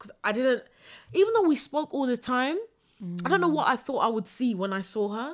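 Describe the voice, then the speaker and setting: A woman speaks with a high pitch and an animated tone at a fairly quick pace. Her voice has very wide pitch swings and big swings in loudness. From East London. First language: not English. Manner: animated, laughs a lot.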